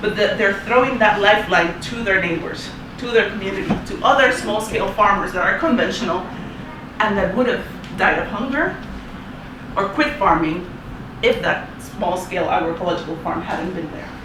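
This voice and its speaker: The voice moves at a moderate pace with lively intonation. Room echo is audible, and background noise is noticeable. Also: woman, medium pitch for a woman. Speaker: agroecology activist. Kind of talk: presentation.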